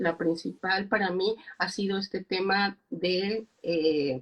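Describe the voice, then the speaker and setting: This woman talks very slowly, her pitch varying in an ordinary way. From Mexico. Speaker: psychologist and speaker. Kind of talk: interview. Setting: Instagram live video call. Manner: halting.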